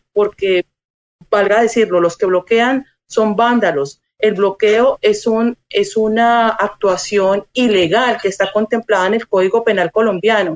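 A woman speaks with fairly high pitch at a fairly slow pace in a plain, everyday voice. Her intonation is fairly even, her loudness very even, with a dry, close sound and no echo. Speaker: Colombian consular official. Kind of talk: interview. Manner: formal.

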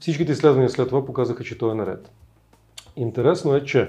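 Dark and mellow in tone, this man's voice is somewhat breathy, and its pitch varies in an ordinary way. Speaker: spiritual teacher. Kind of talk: interview.

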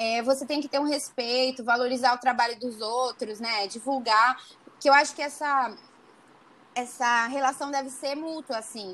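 A bright, sharp tone comes through at a moderate pace with fairly even intonation. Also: woman, high pitch for a woman. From Brazil, interior of São Paulo state (Araçatuba). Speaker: medical student. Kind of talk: casual interview.

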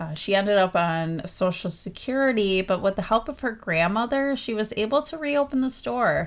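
A woman with an ordinary speaking voice and a fairly high pitch talks at a moderate pace with lively intonation and hardly any pauses. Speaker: podcast co-host. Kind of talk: casual chat, reading from prepared notes.

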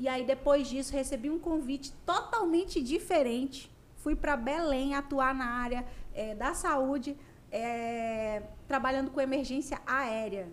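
This woman's voice is high in pitch. Her delivery is fairly slow. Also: ordinary pitch variation. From Conceição do Araguaia, Pará, Brazil. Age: 30s. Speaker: radio host and digital influencer. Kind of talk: casual chat.

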